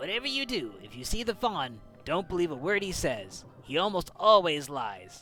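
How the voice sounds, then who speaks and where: Over clear background music, a man puts on a character voice, high-pitched with very wide pitch swings, at a moderate pace. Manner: warning, hurried.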